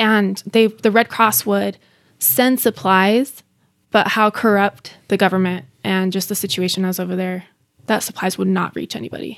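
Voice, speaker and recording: A woman's ordinary speaking voice with an American accent, medium pitch, ordinary pitch variation and a moderate pace, in a very clean recording with a silent background. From Bosnia, raised in the US from age three. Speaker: former refugee. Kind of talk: interview.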